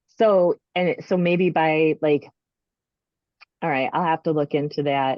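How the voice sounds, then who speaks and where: Very slow and marked by long, frequent pauses, a woman speaks with an American accent. Her pitch is very deep and low, with ordinary pitch variation. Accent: strong regional accent, presumably Minnesotan. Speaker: author selling books direct. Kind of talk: casual chat. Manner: halting.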